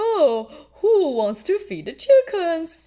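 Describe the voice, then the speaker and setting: A put-on character voice at an extremely high pitch creeps along at a very slow pace with very wide pitch swings. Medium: read story.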